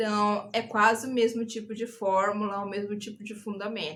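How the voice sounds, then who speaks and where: With an interior São Paulo accent, a woman talks in a fairly high voice that has a bright, sharp tone and vocal fry. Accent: Brazilian caipira. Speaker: YouTuber. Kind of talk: casual advice vlog. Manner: animated, gesturing.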